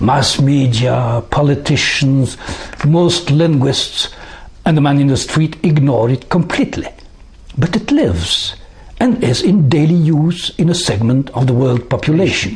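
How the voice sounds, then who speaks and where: There is noticeable background noise as a man speaks with lively intonation and very even loudness. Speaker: former UN translator and psychologist. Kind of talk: prepared talk to camera. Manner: formal.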